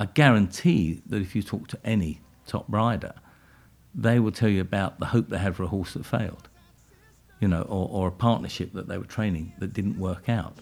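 On a very clean recording with a silent background, a man uses an ordinary speaking voice, fairly low pitch, ordinary pitch variation and a moderate pace. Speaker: equestrian event organiser and trainer. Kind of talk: interview.

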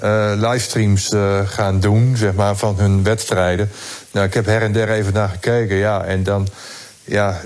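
A fairly low-pitched man talks at a moderate pace. Noticeable noise sits in the background. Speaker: sports reporter. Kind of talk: casual chat. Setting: remote connection from home.

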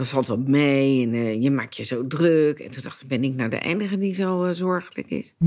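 This woman's pitch swings very widely as she speaks at a fairly slow pace. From Netherlands, Leiden. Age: 60s. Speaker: entrepreneur. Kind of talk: personal interview testimony.

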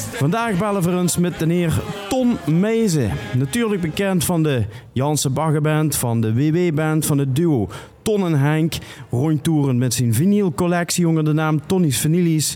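Over music in the background, a man speaks at a fairly slow pace with a fairly high pitch and very even loudness. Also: lively intonation. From Limburg, Netherlands (Sittard). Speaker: podcast host. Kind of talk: casual chat; prank phone call. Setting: studio.

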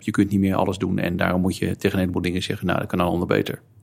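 A man talks at a very fast pace. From Netherlands, Alkmaar (North Holland). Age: 50s. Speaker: lawyer and football supporter. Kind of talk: casual chat. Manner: halting, repeats words.

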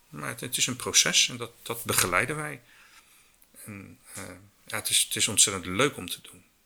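A man with a fairly low pitch, vocal fry and a bright, sharp tone talks at a moderate pace with lively intonation, big swings in loudness and long, frequent pauses. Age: 50s. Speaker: circular economy business consultant. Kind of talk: interview.

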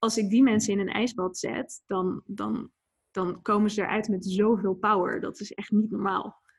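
Fairly even intonation from a woman, somewhat breathy. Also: medium pitch for a woman, moderate pace. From Netherlands (Etten-Leur, Noord-Brabant, and Leiden). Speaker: ice bath instructor and entrepreneur. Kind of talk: interview. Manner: halting, many fillers and repetitions.

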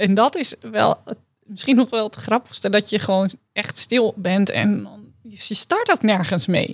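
A woman's fairly slow speech with vocal fry, ordinary pitch variation, and a dry, close sound with no echo. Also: medium pitch for a woman. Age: 40s. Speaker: dietitian. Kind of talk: coaching session client.

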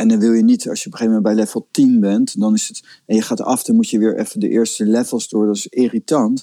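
A man talks at a fairly quick pace in a dry, close sound without any echo. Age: 50s. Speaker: spiritual teacher. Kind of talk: casual chat.

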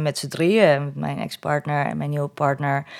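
Her voice is very deep and low in pitch. This woman's recording is very clean, the background silent. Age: 40s. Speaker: single mother. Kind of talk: interview conversation. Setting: at home at a table.

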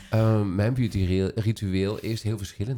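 In a dark, mellow tone, a man's voice comes through a very clean recording with a silent background. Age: 40s. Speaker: podcast host and salon owner. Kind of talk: casual chat.

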